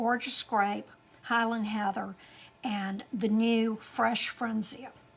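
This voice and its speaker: At a very slow pace, a woman speaks with a fairly high pitch and fairly even intonation. The recording is very clean, with a silent background. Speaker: card-making demonstrator. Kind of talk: crafting tutorial. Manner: casual, halting.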